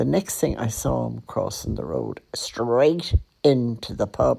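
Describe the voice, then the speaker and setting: A woman speaks with a Dublin accent. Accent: Dublin Irish. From Ireland, Dublin (the Liberties). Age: 80s+. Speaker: podcaster. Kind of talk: personal storytelling. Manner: conversational.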